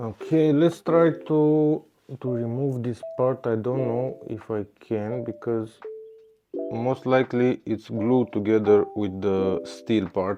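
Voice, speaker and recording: Very slowly, a man speaks with a non-native accent. His pitch is medium, with ordinary variation. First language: Romanian. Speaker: scooter repair technician. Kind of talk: repair tutorial. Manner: halting, with many fillers.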